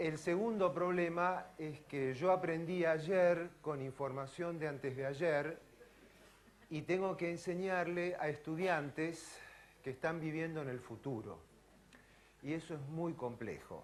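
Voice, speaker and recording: In an Argentine accent, a man with a fairly high pitch speaks at a very slow pace with ordinary pitch variation and audible room echo. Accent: Argentine Spanish (Rioplatense). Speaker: neurosurgeon and physiology professor. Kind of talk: lecture.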